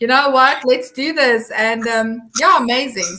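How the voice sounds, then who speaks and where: The tone is bright and sharp, with a South African accent. The pace is fairly slow. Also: woman. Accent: Afrikaans South African English. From South Africa, Eastern Free State. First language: Afrikaans. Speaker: social media consultant. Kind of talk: interview.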